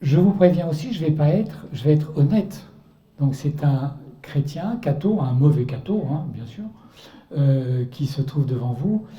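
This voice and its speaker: A man talks at a fairly slow pace in a fairly high, somewhat breathy voice with a dark, mellow tone and ordinary pitch variation. Audible room echo surrounds him. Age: 60s. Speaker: author and artist giving a Lenten talk. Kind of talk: testimony talk to a church audience.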